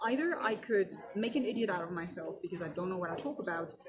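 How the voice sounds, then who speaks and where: A woman at a medium pitch talks at a fairly quick pace, with audible room echo and noticeable background noise. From Germany. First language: German. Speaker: keynote speaker. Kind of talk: interview. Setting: conference.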